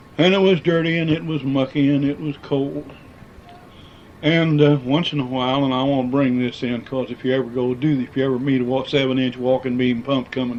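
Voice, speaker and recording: A man with an American accent talks at a fairly quick pace and medium pitch, his intonation fairly even over noticeable background noise. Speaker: former miner. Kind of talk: oral history interview answer.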